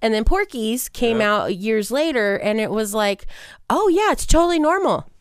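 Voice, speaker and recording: A woman speaks loudly in a fairly high voice with very wide pitch swings. The recording is very clean, with a silent background. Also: moderate pace. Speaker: podcast co-host. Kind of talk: casual chat. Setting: studio.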